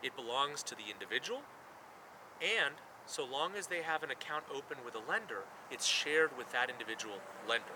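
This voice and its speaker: Lively intonation from a man at a moderate pace, noticeable background noise behind him. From Mexico. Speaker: startup CEO. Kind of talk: promotional video interview takes. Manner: natural, conversational.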